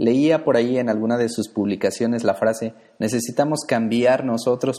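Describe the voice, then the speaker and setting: Against a quiet background, a man with a dark, mellow tone and medium pitch speaks at a moderate pace. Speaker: podcast host. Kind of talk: announcements; interview. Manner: formal.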